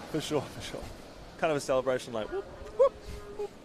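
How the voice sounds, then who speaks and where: Male voice with a New Zealand accent over noticeable background noise. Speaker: sports commentator. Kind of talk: live commentary. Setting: commentary box. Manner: animated.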